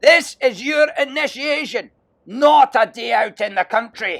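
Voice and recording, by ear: A man puts on a character voice with extremely high pitch, vocal fry, a fairly bright tone and ordinary pitch variation. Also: fairly slow pace.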